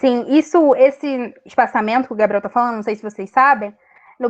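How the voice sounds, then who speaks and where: A woman with a high pitch speaks in a dry, close sound with no echo. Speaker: lecturer on academic writing norms. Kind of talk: online lecture. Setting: video call.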